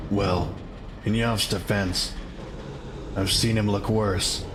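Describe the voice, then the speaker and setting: A put-on character voice delivers its lines at a very slow pace over loud background noise. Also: man, fairly low pitch for a man. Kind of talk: audio drama performance. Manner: sarcastic, tense.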